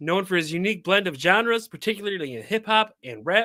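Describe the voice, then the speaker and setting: In a very clean recording with a silent background, a man with a raised, projected voice and a bright, sharp tone speaks at a fairly quick pace with high pitch and ordinary pitch variation. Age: 40s. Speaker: podcast host. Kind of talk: casual interview chat. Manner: animated.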